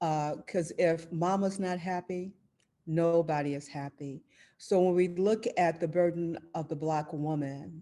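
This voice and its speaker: Over a quiet background, a woman with an American accent speaks fairly slowly in a dark, mellow tone. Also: fairly low pitch for a woman, fairly even intonation. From Chicago. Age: 70s. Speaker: activist. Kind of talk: panel discussion.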